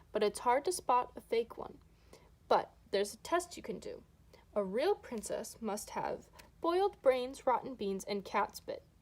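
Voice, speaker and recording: Putting on a character voice, a woman speaks at a high pitch. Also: moderate pace. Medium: read story. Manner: chatty, fussy.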